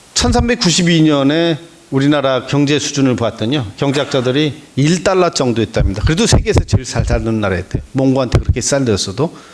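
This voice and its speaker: A man at a fairly high pitch, fairly quick and with hardly any pauses, lively in intonation, over noticeable background noise. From Korea, Boryeong area (Chungcheong). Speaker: history lecturer, news editor. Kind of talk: lecture.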